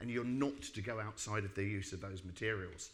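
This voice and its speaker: Speaking with a British accent at a fairly quick pace, a man is heard with audible room echo. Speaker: building regulations expert. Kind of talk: lecture. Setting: stage with audience. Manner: fast.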